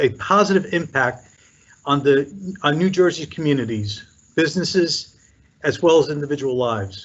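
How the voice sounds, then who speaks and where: Somewhat breathy and fairly high-pitched, a man talks with lively intonation. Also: moderate pace. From Puerto Rico. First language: Spanish. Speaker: commission chair. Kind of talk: formal speech. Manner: formal.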